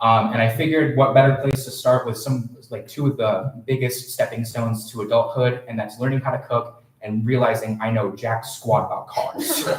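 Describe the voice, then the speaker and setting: A man's medium-pitched voice at a moderate pace, hardly pausing, with fairly even intonation and noticeable background noise. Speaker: student poet. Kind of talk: poetry reading. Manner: loud.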